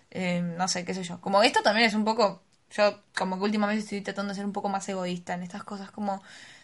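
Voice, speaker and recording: A somewhat breathy voice with a Rioplatense accent speaks very fast in a flat monotone, its loudness swinging widely over a quiet background. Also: woman, medium pitch for a woman. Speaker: podcast co-host. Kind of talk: casual chat.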